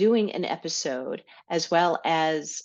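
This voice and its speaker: A woman speaks at a fairly low pitch with ordinary pitch variation. The background is quiet. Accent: New York. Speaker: podcast host, health educator. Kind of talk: solo podcast monologue.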